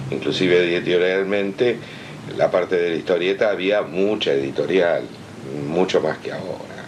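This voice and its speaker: A man with a very deep, low voice talks at a moderate pace, his pitch varying in an ordinary way, while background noise is noticeable. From Argentina, Buenos Aires. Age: 60s. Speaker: comics artist. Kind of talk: interview.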